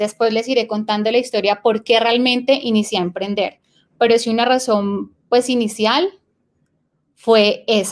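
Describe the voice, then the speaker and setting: Fairly slow delivery with fairly even intonation. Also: woman, fairly high pitch for a woman. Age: 20s. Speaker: entrepreneur, clothing business owner. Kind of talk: interview. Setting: live video stream.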